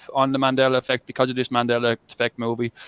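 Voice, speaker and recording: With an Irish accent, a man speaks at a very fast pace in a medium pitch. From Ireland. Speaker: live stream host. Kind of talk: casual chat. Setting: live stream. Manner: halting.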